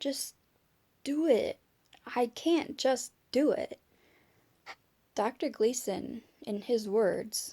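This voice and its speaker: Long, frequent pauses break up a woman's very slow speech. Her high pitch carries a dark, mellow tone with ordinary pitch variation. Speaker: vlogger with chronic illness. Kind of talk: personal video diary. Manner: halting, searching for words.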